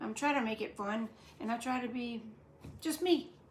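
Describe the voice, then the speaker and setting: Talking at a fairly quick pace with lively intonation, a woman with an American accent is heard amid audible room echo and noticeable background noise. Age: 60s. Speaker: cooking channel host. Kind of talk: cooking tutorial. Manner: casual, hesitant with fillers.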